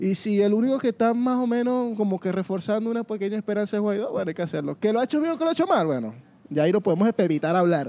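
A man talks at a very fast pace in a high-pitched voice with lively intonation. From Venezuela, Mérida. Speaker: podcast host. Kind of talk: casual chat. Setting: food park.

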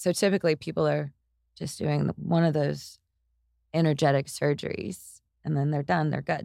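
A woman speaks at a moderate pace in a very deep, low voice with vocal fry and fairly even intonation. The recording is very clean and silent behind her, with a dry, close sound and no echo. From East Texas, US. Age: 30s. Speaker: yoga instructor. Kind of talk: casual interview chat.

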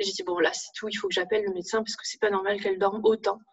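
The woman's voice sits fairly high, with ordinary pitch variation. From northern France. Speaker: parent of a diabetic child. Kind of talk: testimony.

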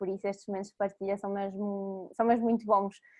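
A woman at a fairly quick pace, medium pitch, with monotone, flat intonation. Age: 20s. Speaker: former volunteer, project founder. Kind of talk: casual interview. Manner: hesitant, with fillers.

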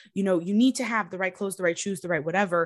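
Against a quiet background, a woman speaks at medium pitch. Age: 20s. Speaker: fashion designer and business founder. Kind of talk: interview.

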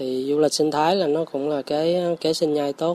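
At a moderate pace, a man talks in a fairly high pitch with a dark, mellow tone. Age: 30s. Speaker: forest farm owner, former IT engineer. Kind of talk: radio interview. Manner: casual, with hesitations.

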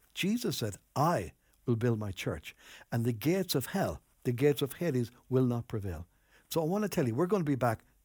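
A man with an Irish accent speaks at a medium pitch, his voice swinging very widely in pitch. The recording is very clean, with a silent background. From Ireland, Enniscorthy, County Wexford. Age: 60s. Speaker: pastor. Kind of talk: sermon.

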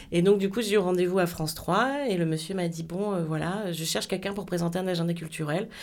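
Talking at a fairly quick pace with hardly any pauses, a woman with a fairly low pitch and ordinary pitch variation is heard amid audible room echo and noticeable background noise. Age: 40s. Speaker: TV presenter and programme coordinator. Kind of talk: interview.

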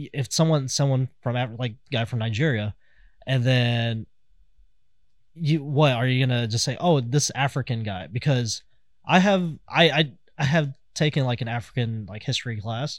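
A man with a normal speaking voice talks at a medium pitch and moderate pace with ordinary pitch variation, on a very clean recording with a silent background. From Kansas City, US Midwest. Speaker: podcast co-host. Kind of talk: casual chat podcast.

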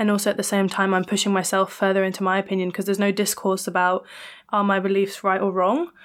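At a very fast pace, a woman speaks in a medium pitch with monotone, flat intonation. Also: very even loudness. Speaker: university student and podcaster. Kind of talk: casual chat.

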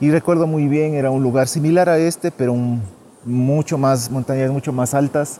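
Fairly even in intonation and fairly high in pitch, a man talks at a moderate pace. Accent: northern Ecuadorian. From Ecuador, Carchi province (northern Andes). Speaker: tour guide vlogger. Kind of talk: casual vlog monologue. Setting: outdoors.

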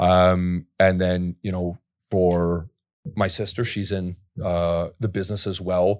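In a very clean recording with a silent background and a dry, close sound with no echo, a man with a Canadian accent speaks at a very slow pace, his very deep, low pitch held in monotone, flat intonation. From Ontario, Canada (Port Perry). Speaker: property developer and former pro athlete. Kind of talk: casual interview.

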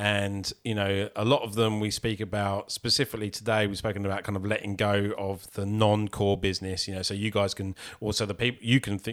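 A man with a normal speaking voice talks at a moderate pace in a fairly low pitch, on a very clean recording with a silent background. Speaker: podcast host. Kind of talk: casual interview. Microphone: professional microphone.

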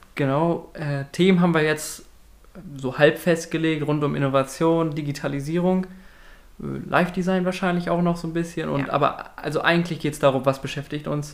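Speaking at a moderate pace, a man delivers his words in a fairly high pitch with monotone, flat intonation. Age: 20s. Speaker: university student and podcast host. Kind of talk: casual chat.

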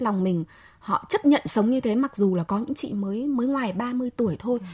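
A woman's fairly high voice comes through dry and close with no echo, over noticeable background noise. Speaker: journalist and writer. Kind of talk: radio talk show discussion.

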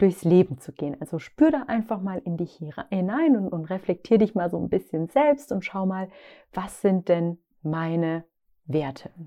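A woman talks at a moderate pace with lively intonation and medium pitch. Hers is an unremarkable speaking voice. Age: 30s. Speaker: podcast host, founder of a lifestyle brand. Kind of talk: solo podcast monologue on self-discovery. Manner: warm, conversational.

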